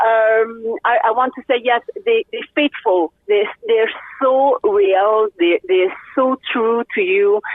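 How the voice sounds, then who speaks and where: A woman speaks at a very slow pace with a fairly high pitch, very even loudness and ordinary pitch variation. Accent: French Canadian. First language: French. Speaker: race car driver and poker player. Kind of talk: interview. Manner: halting, many fillers; animated.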